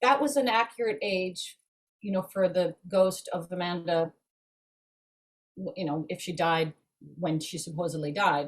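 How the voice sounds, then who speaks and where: A woman with a fairly low, somewhat breathy voice speaks at a moderate pace with lively intonation. She leaves long, frequent pauses. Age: 60s. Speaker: actress. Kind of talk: casual chat. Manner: animated.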